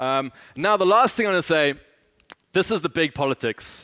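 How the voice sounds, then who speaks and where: A man speaks with lively intonation. The recording is very clean with a silent background, and the sound is dry and close with no echo. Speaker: author and speaker on cash and finance. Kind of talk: conference talk. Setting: stage with audience. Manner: fast talker.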